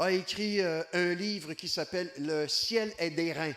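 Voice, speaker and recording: Pitch varies in an ordinary way. The speech is in a Quebec accent. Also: man. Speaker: evangelist. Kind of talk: sermon. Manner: animated.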